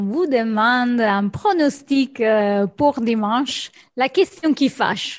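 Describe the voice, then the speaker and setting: A woman speaks at a very slow pace with ordinary pitch variation over a quiet background. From Rome, Italy. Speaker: podcast co-host. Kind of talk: podcast interview.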